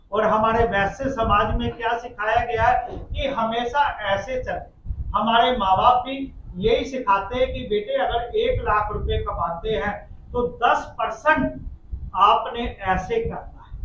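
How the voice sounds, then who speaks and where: Against noticeable background noise and audible room echo, a man speaks. His pitch is extremely high, with ordinary variation. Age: 60s. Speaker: community organization president. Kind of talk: press conference Q&A. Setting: press conference.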